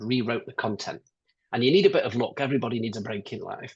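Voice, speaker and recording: Talking very fast with a British accent, a man uses a medium-pitched, somewhat breathy voice. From UK. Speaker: business consultant. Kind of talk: webinar interview.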